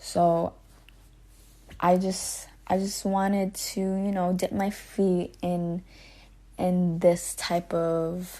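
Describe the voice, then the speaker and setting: Against a quiet background, a dark, mellow voice drags at a very slow pace, monotone and flat, with long, frequent pauses. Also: woman, medium pitch for a woman. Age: 20s. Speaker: podcast host. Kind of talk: casual chat. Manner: halting, pauses and stutters.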